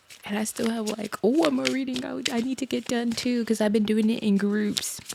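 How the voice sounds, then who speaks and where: Her intonation is lively and her pitch fairly high. The woman talks at a fairly quick pace amid noticeable background noise. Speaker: tarot reader. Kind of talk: tarot reading to camera. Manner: casual and chatty; normal speaking voice, not whispering.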